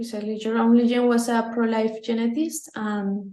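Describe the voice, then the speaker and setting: Flat and monotone, a woman speaks at a fairly high pitch in a dark, mellow, somewhat breathy tone. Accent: Spanish. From Mexico. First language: Spanish. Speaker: pro-life campaign leader. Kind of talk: interview. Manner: halting.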